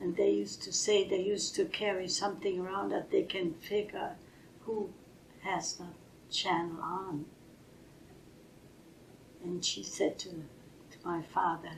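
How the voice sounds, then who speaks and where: A woman with a German accent speaks at a fairly slow pace, leaving long, frequent pauses. Her intonation stays fairly even. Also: medium pitch for a woman. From Germany. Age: 80s+. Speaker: retired nurse. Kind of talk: interview answer.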